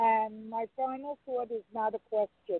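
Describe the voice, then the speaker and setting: A woman speaks with a strong New York accent at a fairly slow pace. Her pitch is fairly high and her intonation fairly even. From New York, Brooklyn. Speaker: caller. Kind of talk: phone-in question.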